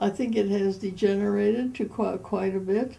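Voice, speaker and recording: A woman's dark, mellow, somewhat breathy tone with fairly even intonation. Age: 80s+. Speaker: retired. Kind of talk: interview answer.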